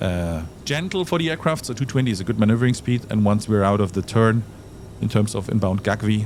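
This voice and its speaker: This man has a German accent and a fairly low voice. He talks at a fairly quick pace. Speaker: flight sim tutorial presenter. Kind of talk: tutorial. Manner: casual, hesitant with fillers.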